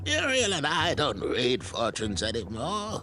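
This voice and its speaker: A man's put-on character voice, fairly high-pitched, at a moderate pace over clear background noise. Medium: video game. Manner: dry, wry.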